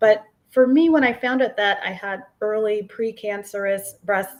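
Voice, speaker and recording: A woman with a plain, everyday voice speaks at a fairly slow pace and medium pitch with ordinary pitch variation, on a very clean recording with a silent background. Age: 40s. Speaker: psychologist and breast cancer survivor. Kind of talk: interview testimony.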